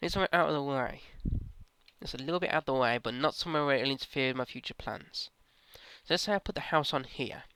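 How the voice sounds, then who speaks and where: A man speaks very fast with a bright, sharp tone, a fairly high pitch and ordinary pitch variation, yet leaves long, frequent pauses. The recording is very clean, with a silent background and a dry, close sound with no echo. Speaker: gaming YouTuber. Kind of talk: let's play commentary. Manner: low energy sounding.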